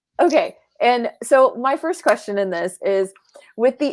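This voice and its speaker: A woman with a fairly high pitch talks at a moderate pace in an animated tone with lively intonation. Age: 30s. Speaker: podcast host. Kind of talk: interview.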